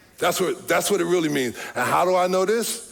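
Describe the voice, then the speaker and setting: A man with lively intonation is heard through audible room echo, with music in the background. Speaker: pastor. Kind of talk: sermon.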